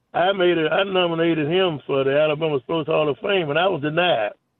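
Talking at a fairly quick pace, a man with a Southern US accent speaks at a fairly high pitch. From US South. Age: 80s+. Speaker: caller. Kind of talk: call-in chat. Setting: phone call. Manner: halting.

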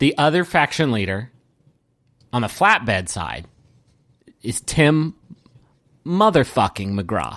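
This man talks at a very slow pace in a medium pitch, with very wide pitch swings, vocal fry, and long, frequent pauses. The recording is very clean, with a silent background. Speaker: podcast host. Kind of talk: casual banter. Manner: joking, rambling.

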